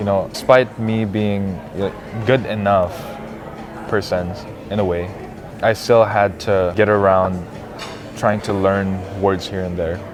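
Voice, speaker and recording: Over music in the background and audible room echo, the voice moves at a fairly slow pace in a monotone, flat intonation with long, frequent pauses. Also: man, fairly low pitch for a man. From Philippines (raised from age 5). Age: 20s. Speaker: university student. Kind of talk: casual interview chat. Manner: halting.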